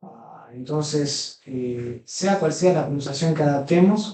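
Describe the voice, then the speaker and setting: Speaking at a fairly slow pace, a man with a fairly high pitch shows ordinary pitch variation. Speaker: Greek language teacher. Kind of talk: lecture. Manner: halting.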